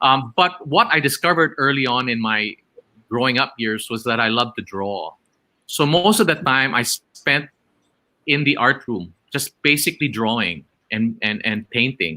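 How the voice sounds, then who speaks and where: Speaking at a moderate pace, a man with a medium pitch has a bright, sharp tone and lively intonation. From Philippines, Iloilo. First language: Ilonggo. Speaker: theater actor. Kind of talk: interview about life story. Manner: halting.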